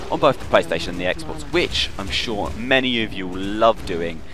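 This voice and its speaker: A man speaks with music in the background. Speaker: gaming video host. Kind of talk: video game news rundown. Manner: fast.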